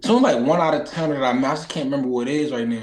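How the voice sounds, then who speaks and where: Speaking very fast in a Philadelphia accent, a man uses a fairly high pitch and lively intonation. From Philadelphia, US. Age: 20s. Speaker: boxer. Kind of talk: casual chat. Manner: animated.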